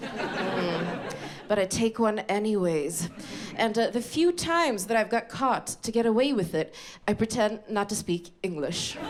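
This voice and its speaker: With lively intonation and a fairly high pitch, a woman talks fairly slowly over noticeable background noise. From Sweden. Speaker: comedian. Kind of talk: stand-up. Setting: stage with audience.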